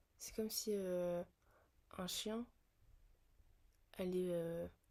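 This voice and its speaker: A woman at medium pitch with a dark, mellow tone and fairly even intonation. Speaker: vlogger. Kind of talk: casual monologue vlog. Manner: slow, hesitant with many fillers.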